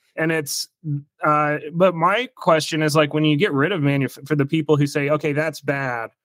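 A man talks at a fairly high pitch in an unremarkable speaking voice. His intonation is fairly even, his pace moderate, and the sound dry and close with no echo. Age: 30s. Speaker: podcast host and therapist. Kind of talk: interview.

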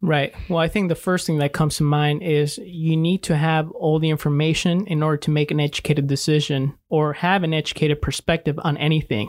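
An unremarkable speaking voice at a fairly quick pace with hardly any pauses, fairly even intonation, and very even loudness, in a very clean recording with a silent background. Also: man, fairly high pitch for a man. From Mexico, raised in Salem, Oregon. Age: 20s. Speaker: financial strategy business owner. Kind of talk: interview conversation. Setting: studio.

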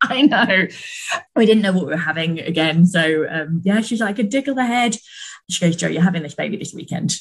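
Speaking at a fairly quick pace, a woman with a medium pitch sounds somewhat breathy and uses lively intonation. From Britain. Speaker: mother sharing birth story. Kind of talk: casual interview testimony.

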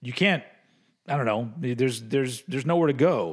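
In a very clean recording with a silent background, a man talks at a fairly quick pace, with medium pitch and ordinary pitch variation. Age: 40s. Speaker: metal podcast host. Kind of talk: casual chat. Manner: halting.

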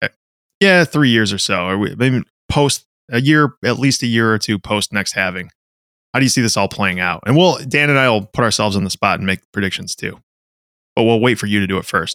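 A man with a plain, everyday voice and a medium pitch talks at a fairly quick pace with lively intonation, recorded dry and close with no echo. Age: 30s. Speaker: podcast co-host and firefighter. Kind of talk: casual podcast chat.

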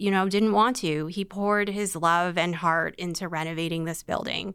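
In an ordinary speaking voice, a woman with a Canadian accent talks at a medium pitch with fairly even intonation. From Vancouver, Canada. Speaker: museum director. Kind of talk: interview.

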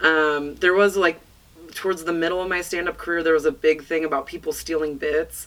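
An unremarkable speaking voice from a woman with an American accent, fairly low in pitch, with fairly even intonation at a fairly quick pace. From US West, northern California (Placer County). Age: 30s. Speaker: stand-up comedian. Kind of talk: casual chat. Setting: studio.

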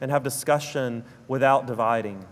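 A man in a southern Alabama accent speaks at a fairly high pitch with monotone, flat intonation. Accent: South Alabama drawl. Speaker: preacher. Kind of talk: sermon.

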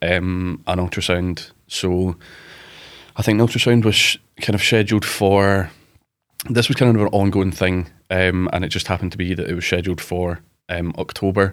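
A man's very deep, low voice in a Glasgow accent, monotone and flat, at a moderate pace, on a very clean recording with a silent background. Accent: Scottish (Glasgow). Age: 20s. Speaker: rugby player, cancer survivor. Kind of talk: interview, personal story. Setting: studio.

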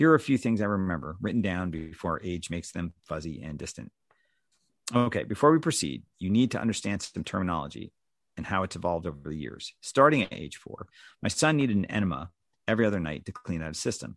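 Vocal fry runs through very wide pitch swings and big jumps in loudness. The pace is very fast over a quiet background. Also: man, very deep, low pitch for a man. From US Northeast, New Jersey. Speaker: father of a child with IA/ARM. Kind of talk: reading own story and interview chat. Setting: video call.

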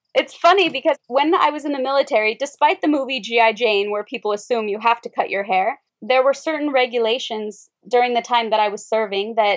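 A woman with an American accent has an ordinary speaking voice at a fairly high pitch. She talks at a moderate pace with ordinary pitch variation. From Wyoming, rural US. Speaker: yoga teacher, former military linguist. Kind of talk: casual interview chat.

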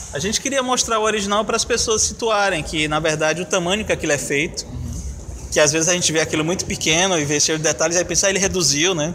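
A man rattles off his words at a very fast pace with noticeable background noise around him. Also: ordinary pitch variation, hardly any pauses. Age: 40s. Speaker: artist and exhibition curator. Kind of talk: interview.

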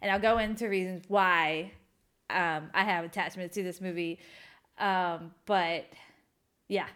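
A woman speaks loudly, with long, frequent pauses. The recording is very clean, with a silent background. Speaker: podcast co-host. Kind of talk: casual chat. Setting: home kitchen table, evening.

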